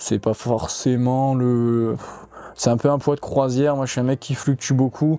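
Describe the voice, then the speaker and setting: The tone is dark and mellow. It comes from a man speaking at a medium pitch. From Corsica. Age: young. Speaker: fighter. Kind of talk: podcast interview. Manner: hesitant, many fillers.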